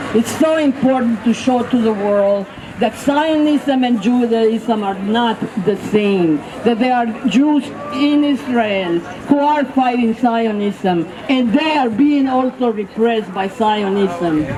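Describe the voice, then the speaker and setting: Over noticeable background noise and audible room echo, a woman talks at a very slow pace, her fairly high pitch moving with ordinary variation. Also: very even loudness. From Mexico. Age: 70s. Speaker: rally speaker, activist. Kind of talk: protest speech. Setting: outdoor street rally. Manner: impassioned.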